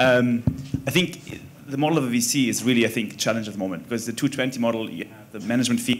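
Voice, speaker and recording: A man speaks with a German accent at a medium pitch. His intonation is fairly even. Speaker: venture investor. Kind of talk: panel discussion.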